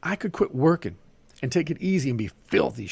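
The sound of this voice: A man puts on a growling character voice, fairly high in pitch with very wide pitch swings. He talks at a fairly quick pace, and the sound is dry and close with no echo.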